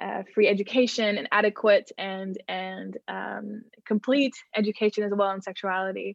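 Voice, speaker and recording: A woman with a Dutch accent speaks at a moderate pace and a medium pitch. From Netherlands. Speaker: youth ambassador, reproductive rights activist. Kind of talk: interview.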